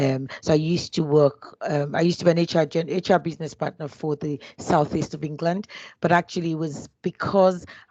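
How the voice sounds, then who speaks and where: Against a quiet background, a woman with a Nigerian accent speaks at a moderate pace in a very deep, low pitch with fairly even intonation, the sound dry and close with no echo. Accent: Nigerian (Yoruba) English. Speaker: HR business partner. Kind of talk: interview. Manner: hesitant, many fillers and restarts.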